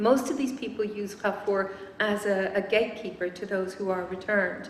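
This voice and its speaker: Noticeable background noise and audible room echo surround the recording. A woman speaks at a medium pitch with fairly even intonation. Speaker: researcher giving a talk. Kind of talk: lecture. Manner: fast.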